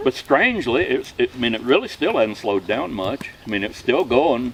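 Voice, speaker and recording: Against noticeable background noise, a man talks very fast. His voice sits at a medium pitch. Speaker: storyteller. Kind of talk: campfire tall tale. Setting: outdoors. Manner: casual, folksy.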